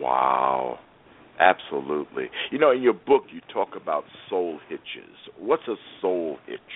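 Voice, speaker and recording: Speaking at a fairly slow pace, a man leaves long, frequent pauses, and his loudness swings widely. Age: 60s. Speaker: radio host and business coach. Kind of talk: radio interview. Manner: animated.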